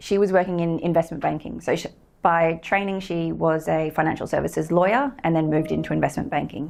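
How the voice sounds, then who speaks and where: This woman has an Australian accent. She talks at a fairly quick pace with ordinary pitch variation. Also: very clean recording, silent background. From Australia, Sydney. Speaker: company co-founder and director. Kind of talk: guest lecture. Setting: lecture room with audience. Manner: hesitant, many fillers.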